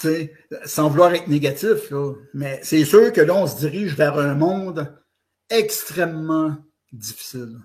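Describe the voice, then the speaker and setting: A fairly high-pitched man with a Quebec accent, a fairly slow pace, long, frequent pauses, big swings in loudness and ordinary pitch variation. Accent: Québécois French. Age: 60s. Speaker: author and blogger. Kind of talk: interview. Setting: online audio space.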